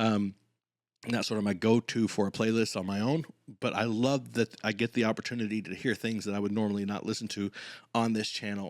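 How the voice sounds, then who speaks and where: A man at a fairly low pitch talks at a fairly quick pace with fairly even intonation. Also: very clean recording, silent background. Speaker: acting coach reacting to music videos. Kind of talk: reaction commentary. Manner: soft-spoken, kept low; fast.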